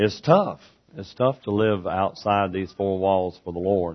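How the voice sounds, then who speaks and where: A man with a Southern US accent, fairly low in pitch, at a fairly slow pace. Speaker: preacher. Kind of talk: sermon. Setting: church.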